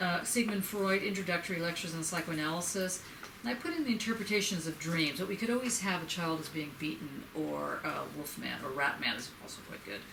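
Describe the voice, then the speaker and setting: Using an American accent, a woman talks at a fairly quick pace with hardly any pauses, fairly low pitch and lively intonation, against noticeable background noise and audible room echo. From New York. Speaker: professor. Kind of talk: lecture. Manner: fast.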